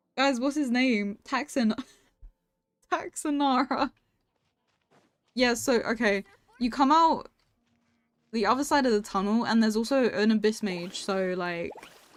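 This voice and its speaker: With a non-native accent, a woman speaks at a fairly slow pace, leaving long, frequent pauses. Her pitch is fairly high and her intonation lively. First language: not English. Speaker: video game streamer. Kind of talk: live stream commentary. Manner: casual, chatty.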